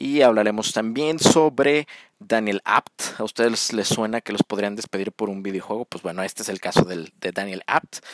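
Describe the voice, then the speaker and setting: A man with an unremarkable speaking voice talks at a moderate pace and fairly low pitch, with ordinary pitch variation, big swings in loudness, hardly any pauses, and a dry, close sound with no echo. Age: 30s. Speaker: sports podcast host. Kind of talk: solo podcast commentary.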